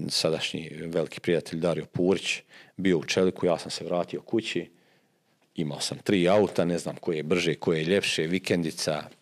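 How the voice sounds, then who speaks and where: Against a quiet background, a man with a very deep, low pitch speaks at a moderate pace in a monotone, flat intonation. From Bosnia, Posavina region near Bosanski Šamac; Bosnia. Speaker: football coach and former player; football coach guest. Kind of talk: interview. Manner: halting, many fillers and repetitions. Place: studio. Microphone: studio mic.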